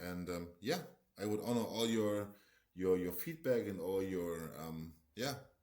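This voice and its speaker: Fairly low-pitched male voice with a German accent, ordinary pitch variation, and a moderate pace. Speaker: market analyst. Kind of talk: tutorial; casual chat. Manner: halting.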